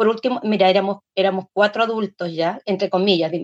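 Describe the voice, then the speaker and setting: This woman speaks very fast. Her sound is close and dry, without any echo. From Chile. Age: 60s. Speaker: folk singer and dancer. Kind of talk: interview.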